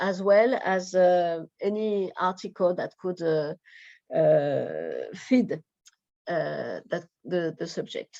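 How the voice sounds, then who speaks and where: A woman with a French accent speaks at a very slow pace with long, frequent pauses. The background is quiet. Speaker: researcher. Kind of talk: presentation. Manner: halting.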